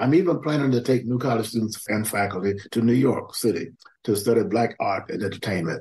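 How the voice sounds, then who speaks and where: Somewhat breathy, a man talks at a fairly quick pace in a medium pitch. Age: 80s+. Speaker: historian and activist. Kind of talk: interview. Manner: energetic, youthful-sounding.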